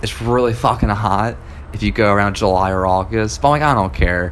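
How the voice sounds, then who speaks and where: Here is a man with a plain, everyday voice. He speaks fairly low and at a fairly quick pace. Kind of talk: casual chat. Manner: casual, laid-back.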